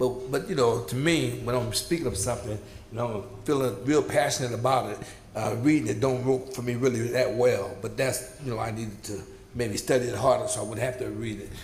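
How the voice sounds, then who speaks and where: Amid noticeable background noise and audible room echo, a medium-pitched man speaks with ordinary pitch variation and big swings in loudness. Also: fairly quick pace. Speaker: community advisory board member. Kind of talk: public meeting report. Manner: halting, repetitive.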